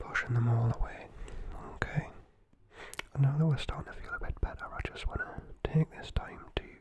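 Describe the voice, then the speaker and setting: A whispering woman with a Geordie accent, big swings in loudness, long, frequent pauses and noticeable background noise. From North East England (Geordie). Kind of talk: guided breathing and positive affirmations. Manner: whispered, soft-spoken, slow.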